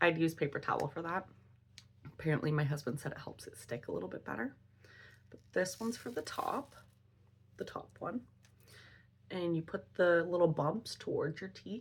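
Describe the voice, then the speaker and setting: A woman with a fairly low, somewhat breathy voice talks at a moderate pace with lively intonation. Her loudness swings widely, and she leaves long, frequent pauses. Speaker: beauty vlogger. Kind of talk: product review tutorial.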